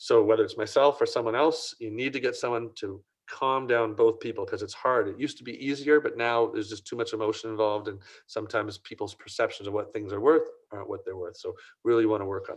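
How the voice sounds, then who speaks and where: Talking at a very fast pace, a man makes big swings in loudness. The background is quiet. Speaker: print industry consultant. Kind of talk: Q&A answer; webinar presentation.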